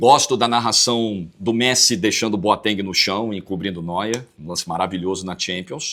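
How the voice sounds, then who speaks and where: With a Rio de Janeiro accent, a man speaks at a moderate pace in a fairly low pitch, with ordinary pitch variation and big swings in loudness. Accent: Carioca Brazilian Portuguese. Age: 40s. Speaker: football commentator. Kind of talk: interview answer.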